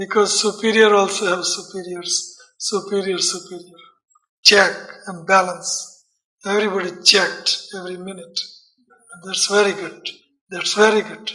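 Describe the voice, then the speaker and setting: A man with a high pitch speaks in a raised, projected voice at a moderate pace, his intonation monotone and flat, with big swings in loudness, long, frequent pauses and audible room echo. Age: 60s. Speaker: Hare Krishna preacher. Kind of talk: lecture.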